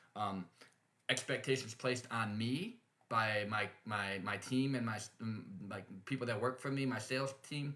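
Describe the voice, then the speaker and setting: A medium-pitched man's voice with a bright, sharp tone. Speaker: podcast host and company owner. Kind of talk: podcast monologue on leadership. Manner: fast; hesitant, many fillers.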